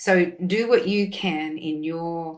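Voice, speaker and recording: A woman with an Australian accent and a fairly low pitch. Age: 60s. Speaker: nutritionist. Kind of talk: casual chat.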